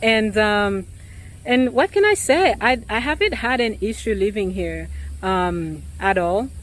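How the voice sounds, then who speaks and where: At a fairly slow pace, a woman talks in a non-native accent. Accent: noticeable foreign. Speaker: realtor. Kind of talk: vlog monologue. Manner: hesitant, many fillers.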